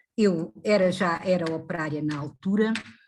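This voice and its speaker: Very slow speech comes from a woman. Her voice sits fairly low and sounds somewhat breathy. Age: 70s. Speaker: retired factory worker and activist. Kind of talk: interview. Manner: halting.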